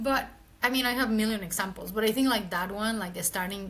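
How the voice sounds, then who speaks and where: Somewhat breathy speech with a Mexican accent comes through with audible room echo. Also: woman. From Mexico City. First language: Spanish. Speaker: marketing executive. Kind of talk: interview conversation. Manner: casual, lots of filler words.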